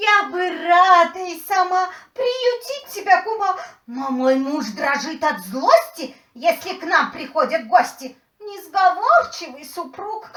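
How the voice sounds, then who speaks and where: A female-sounding, put-on character voice speaks at a fairly slow pace with extremely high pitch. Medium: audio drama. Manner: fussy, chattering.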